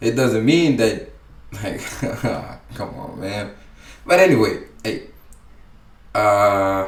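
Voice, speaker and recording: A man with a medium pitch speaks very slowly, with lively intonation, long, frequent pauses and big swings in loudness. Noticeable background noise and audible room echo fill the recording. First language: not English. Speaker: YouTube reactor. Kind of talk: reaction commentary. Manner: halting.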